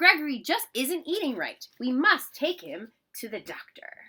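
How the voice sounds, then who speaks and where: At a moderate pace, a woman performs a put-on character voice at a high pitch. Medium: read story.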